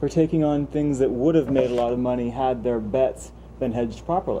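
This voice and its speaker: The speech moves at a fairly quick pace with noticeable background noise. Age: young. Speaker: talk show co-host. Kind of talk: casual political discussion.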